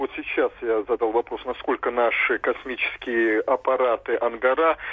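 This is a man speaking. His pace is fairly slow. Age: 30s. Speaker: caller. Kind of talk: radio phone-in call.

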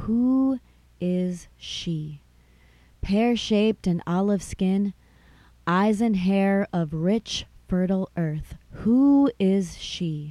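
At a very slow pace, a dark, mellow tone carries ordinary pitch variation over a very clean recording with a silent background. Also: woman, medium pitch for a woman. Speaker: podcast host and midwifery school graduate. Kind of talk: casual intro and outro chat; poetry reading, spoken word. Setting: studio podcast recording. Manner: halting, filler-heavy speech in the chat; slow, deliberate, lyrical poetic delivery with pauses.

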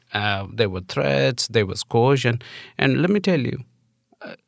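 On a very clean recording with a silent background, a man with an Indian accent speaks with very wide pitch swings. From India, New Delhi. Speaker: trafficking survivor and advocate. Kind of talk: interview. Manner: hesitant, many fillers.

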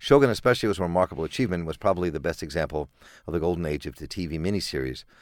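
Recorded very cleanly against a silent background, the speaker talks at a very fast pace in an American accent, with lively intonation and vocal fry. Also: man, very deep, low pitch for a man. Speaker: radio host. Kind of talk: radio interview. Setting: studio.

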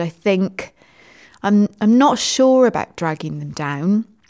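In a British accent, a woman of medium pitch speaks at a fairly slow pace with lively intonation. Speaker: teacher and education podcast host. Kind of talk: casual chat.

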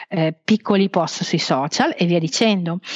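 A woman speaks at a moderate speed, with noticeable noise in the background. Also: dry, close sound with no echo. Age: 40s. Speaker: travel blogger and freelance web marketer. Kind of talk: podcast interview.

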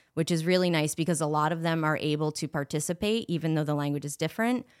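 A woman with an ordinary speaking voice talks at a fairly low pitch with ordinary pitch variation, in a very clean recording with a silent background. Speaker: social studies teacher.

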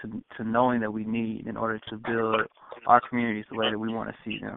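In an American accent, a man of medium pitch talks with monotone, flat intonation. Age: 30s. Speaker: food justice director, activist. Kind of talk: panel discussion. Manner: halting.

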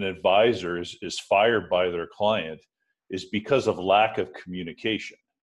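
Fairly low in pitch, a man speaks in a plain, everyday voice at a moderate pace over a quiet background. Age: 50s. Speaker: podcast host. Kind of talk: interview.

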